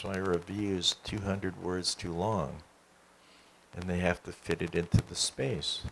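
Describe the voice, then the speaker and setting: A man talks at a fairly slow pace. He has an American accent. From Boston, US. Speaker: poet and art critic. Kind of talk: panel conversation at literary event.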